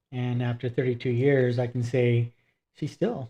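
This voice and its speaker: At a moderate pace, a man talks in a medium pitch with a dark, mellow tone, a somewhat breathy quality and fairly even intonation. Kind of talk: casual talk to camera.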